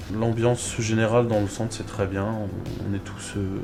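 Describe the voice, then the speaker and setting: A man speaks in a monotone, flat intonation, with audible room echo and noticeable background noise. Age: 20s. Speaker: vocational rehab trainee. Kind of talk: testimony. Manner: hesitant, many fillers.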